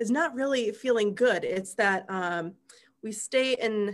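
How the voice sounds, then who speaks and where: At a very slow pace, a woman speaks at a fairly high pitch with ordinary pitch variation. The recording is very clean, with a silent background. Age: 30s. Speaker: spiritual coach and live-stream host. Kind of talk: casual chat. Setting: live video stream.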